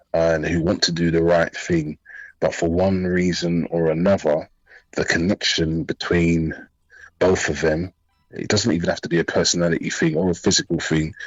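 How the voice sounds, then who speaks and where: Music plays in the background. A man with a very deep, low pitch talks at a moderate pace in a monotone, flat intonation. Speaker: radio show guest, DJ. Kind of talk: radio talk show conversation.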